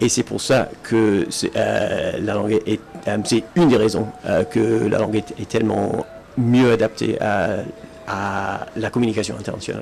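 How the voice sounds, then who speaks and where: There is noticeable background noise. A man talks at a fairly slow pace. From Britain. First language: English (speaking French). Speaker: Esperanto speaker. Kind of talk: public talk. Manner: halting, many fillers and restarts.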